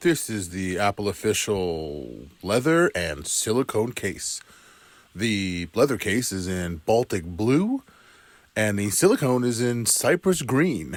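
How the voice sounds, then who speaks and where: A man's put-on character voice, gravelly and fairly low in pitch, at a fairly slow pace. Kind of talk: voiceover.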